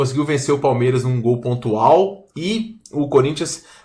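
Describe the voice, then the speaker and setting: With lively intonation, a man speaks. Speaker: sports betting tipster. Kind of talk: tutorial-style betting analysis. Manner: fast; casual.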